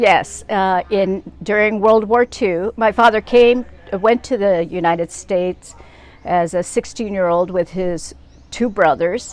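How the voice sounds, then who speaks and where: A woman with a Pacific Northwest accent, fairly slow pace and ordinary pitch variation. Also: medium pitch for a woman. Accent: American, Pacific Northwest. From US Pacific Northwest, Seattle. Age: 70s. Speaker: social justice activist. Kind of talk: interview.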